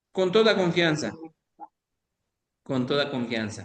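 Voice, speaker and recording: A man's voice with audible room echo. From Mexico, Quintana Roo. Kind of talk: online lecture.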